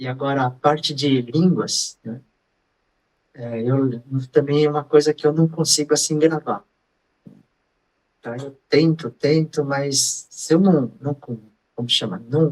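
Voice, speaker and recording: Speaking at a very slow pace with long, frequent pauses, a man keeps a fairly high pitch and fairly even intonation. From Brazil. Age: 70s. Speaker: bodybuilder, social media personality. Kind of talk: interview answer. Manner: casual, conversational.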